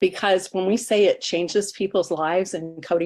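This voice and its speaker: A woman with a normal speaking voice, medium pitch, fairly even intonation, and moderate pace, on a very clean recording with a silent background. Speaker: webinar guest sharing stories. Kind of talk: testimony.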